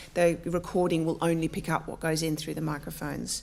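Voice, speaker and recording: A woman with an Australian accent talks at a fairly quick pace and a fairly low pitch. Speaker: academic librarian and panel chair. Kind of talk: introductory talk to a live audience. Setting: lecture room with audience. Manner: many filler ums; halting.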